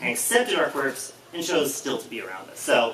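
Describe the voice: A man with big pitch swings, plus audible room echo. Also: medium pitch for a man, moderate pace, fairly bright tone.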